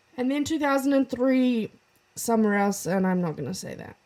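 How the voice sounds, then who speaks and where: A woman speaks in a New Zealand accent. Her pitch varies in an ordinary way. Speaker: podcast co-host. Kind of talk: casual chat.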